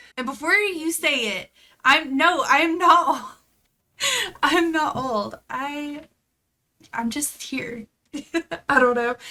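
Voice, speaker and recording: A woman's high, raised and projected voice with a bright, sharp tone, very slow pace, long, frequent pauses, ordinary pitch variation and big swings in loudness. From Tennessee, US South. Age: 20s. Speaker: podcast co-host and streamer. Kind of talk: casual chat.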